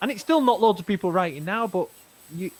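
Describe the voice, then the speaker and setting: With a Manchester accent, a man talks in a high voice that swings very widely in pitch. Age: 40s. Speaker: podcast host. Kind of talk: casual chat.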